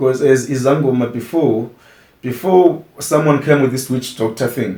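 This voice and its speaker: A man's medium-pitched voice, dark and mellow in tone and somewhat breathy, at a moderate pace with ordinary pitch variation. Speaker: sangoma and music performer. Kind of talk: interview. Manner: halting.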